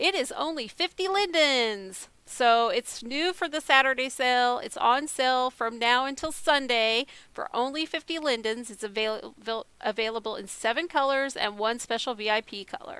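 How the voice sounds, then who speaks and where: With hardly any pauses, a woman projects a raised, high-pitched voice with a bright, sharp tone on a very clean recording with a silent background. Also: lively intonation, moderate pace. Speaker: video blogger. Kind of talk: casual vlog talk to camera. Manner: hesitant, many ums.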